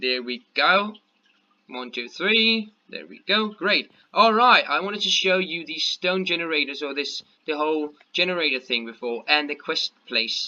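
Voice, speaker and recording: Speaking with a Danish accent, a man uses lively intonation and a bright, sharp tone at a fairly slow pace. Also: fairly high pitch for a man, big swings in loudness. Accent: Danish accent, weird pronunciation at times. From Denmark. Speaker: gaming youtuber. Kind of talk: gameplay commentary. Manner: mumbling; halting, many fillers.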